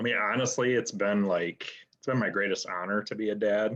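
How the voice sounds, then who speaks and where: A man with an American accent speaks in a fairly low pitch, his intonation monotone and flat. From West Michigan, US. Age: 40s. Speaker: real estate agent and army veteran. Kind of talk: interview.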